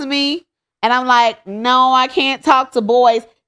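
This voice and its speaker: A woman with a high-pitched voice speaks in an animated tone in a very clean recording with a silent background. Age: 30s. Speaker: podcast co-host. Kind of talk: casual chat. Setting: studio.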